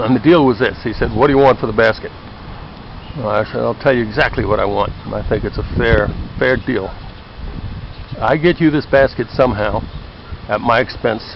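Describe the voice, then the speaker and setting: Speech comes at a fairly quick pace broken by long, frequent pauses, with noticeable background noise behind it. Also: man, medium pitch for a man, ordinary pitch variation. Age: 60s. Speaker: former anthropologist. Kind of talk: casual video talk. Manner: conversational.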